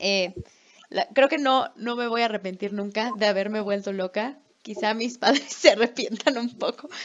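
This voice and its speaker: Speaking at a moderate pace, a woman uses a plain, everyday voice, fairly high in pitch with ordinary pitch variation. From Mexico. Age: 20s. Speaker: podcast co-host, English teacher. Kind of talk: casual chat.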